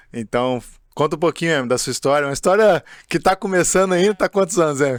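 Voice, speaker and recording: A man talks at a very fast pace with lively intonation and a fairly high pitch. The sound is dry and close with no echo, in a very clean recording with a silent background. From Juiz de Fora, Minas Gerais, Brazil. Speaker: podcast host, football academy head. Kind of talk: casual podcast chat.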